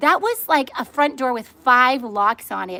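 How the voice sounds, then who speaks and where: A woman projects a raised, high-pitched voice with a bright, sharp, animated tone and lively intonation. The recording is very clean, with a silent background. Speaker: livestream host. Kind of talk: live-streamed casual chat. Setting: outdoors, sitting in her pool. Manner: fast.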